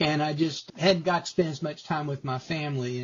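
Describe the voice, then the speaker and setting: A man's somewhat breathy voice at a fairly high pitch. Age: 60s. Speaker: retired lawyer. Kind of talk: testimonial interview.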